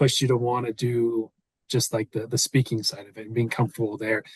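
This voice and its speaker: A man talks at a fairly quick pace in a somewhat breathy voice, recorded dry and close with no echo against a quiet background. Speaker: podcast host and real estate coach. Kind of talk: casual interview chat. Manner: mellow, laid-back.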